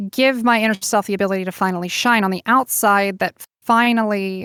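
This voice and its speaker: In a very clean recording with a silent background and a dry, close sound with no echo, a woman with an ordinary speaking voice talks at a medium pitch and a moderate pace, her intonation fairly even. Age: 20s. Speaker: activist and voice actress. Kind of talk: casual interview chat.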